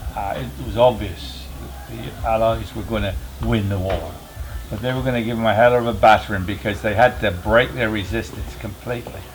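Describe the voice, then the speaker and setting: A man's fairly low voice with very wide pitch swings, a fairly quick pace, audible room echo and music in the background. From England (Somerset). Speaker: war veteran. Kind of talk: interview, personal recollections. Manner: hesitant, many fillers.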